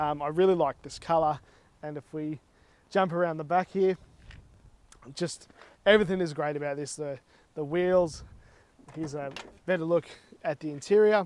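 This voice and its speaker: A man with an Australian accent and a fairly high pitch speaks at a moderate pace with fairly even intonation. His loudness swings widely, and he leaves long, frequent pauses. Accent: thick Australian. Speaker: car vlogger. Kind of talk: casual vlog while driving.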